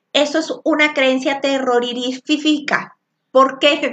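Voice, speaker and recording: A woman speaks loudly at a very slow pace. Her high voice shows ordinary pitch variation. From Venezuela. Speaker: spiritual coach and tarot teacher. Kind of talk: live-streamed spiritual class.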